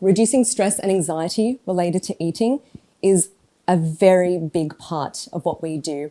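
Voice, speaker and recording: A woman's fairly low voice in an Australian accent, dark and mellow in tone, with ordinary pitch variation. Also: moderate pace. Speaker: oncology dietitian. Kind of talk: talk to an audience. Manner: careful enunciation.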